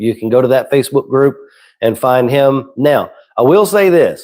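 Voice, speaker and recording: A man with a Southern US accent speaks at a fairly high pitch, recorded very cleanly against a silent background. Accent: Southern twang. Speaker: saltwater aquarium content creator. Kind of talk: live stream chat. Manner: casual.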